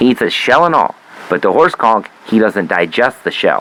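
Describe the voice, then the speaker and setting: Over noticeable background noise, a man speaks at a moderate pace and medium pitch, with very wide pitch swings and very even loudness. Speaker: comedy podcast host. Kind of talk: casual comedic monologue. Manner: animated; halting, stammering.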